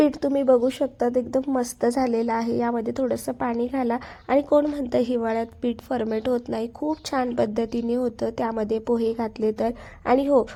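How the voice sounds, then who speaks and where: Monotone and flat, a woman speaks in a high pitch. Her tone is dark and mellow. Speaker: food and lifestyle vlogger. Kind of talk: casual cooking vlog narration.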